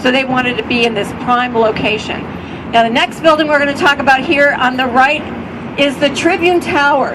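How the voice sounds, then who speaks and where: A woman with an American accent talks at a moderate pace, high in pitch with lively intonation. Noticeable background noise can be heard. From Chicago, US Midwest. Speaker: architecture tour guide. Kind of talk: guided tour commentary. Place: boat.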